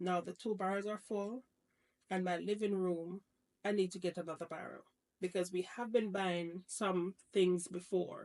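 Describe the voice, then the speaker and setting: A woman speaks at a moderate pace and medium pitch, her intonation monotone and flat. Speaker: personal finance YouTuber. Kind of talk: casual vlog budget walkthrough. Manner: conversational, self-correcting.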